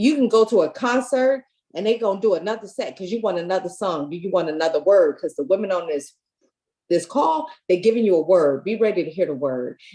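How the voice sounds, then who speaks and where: The speaker has a dark, mellow tone and an American accent, moving at a fairly quick pace. Pitch swings very widely. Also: woman, medium pitch for a woman. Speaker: community organizer. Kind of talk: panel discussion. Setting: video call from home.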